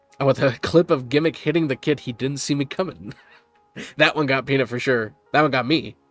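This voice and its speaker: Music plays in the background as a man talks at a fairly quick pace. His pitch is fairly high and his intonation fairly even. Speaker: animation channel streamer. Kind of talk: live stream chat reading comments. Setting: live stream. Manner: calm.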